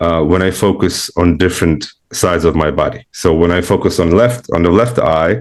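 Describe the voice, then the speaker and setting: The speaker has a non-native accent and ordinary pitch variation. Loudness stays very even throughout. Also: man, very deep, low pitch for a man, moderate pace. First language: not English. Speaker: spiritual seeker, client. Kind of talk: one-on-one spiritual consultation. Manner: halting, many fillers.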